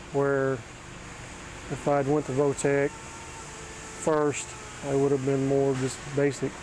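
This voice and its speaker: Over noticeable background noise, a man with an American accent and a fairly high pitch speaks very slowly in a monotone, flat way, with long, frequent pauses. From Oklahoma. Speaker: auto body technician. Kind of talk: interview. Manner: halting.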